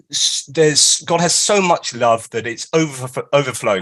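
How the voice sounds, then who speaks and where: The speaker has a British accent and keeps a moderate pace. The pitch swings very widely. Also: man. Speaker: author and philosopher giving a talk. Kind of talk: lecture. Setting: live stream.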